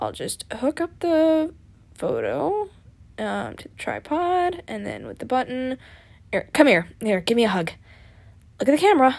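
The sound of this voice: Using a put-on character voice, a woman speaks at a fairly slow pace with a high pitch, lively intonation, vocal fry and a slightly mellow tone.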